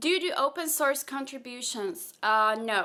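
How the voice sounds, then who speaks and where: Speech in a Slovak accent has lively intonation, a bright, sharp tone and a fairly slow pace on a very clean recording with a silent background. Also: woman. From Slovakia, partly raised in Austria. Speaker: software engineer and content creator. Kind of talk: Q&A vlog.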